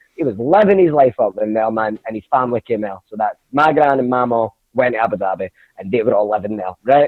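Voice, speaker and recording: In a Glasgow accent, a man with a medium-pitched voice talks at a very fast pace in an animated tone, his pitch varying in an ordinary way. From Scotland, Glasgow (Castlemilk). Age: 20s. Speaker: comedian. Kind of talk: casual chat.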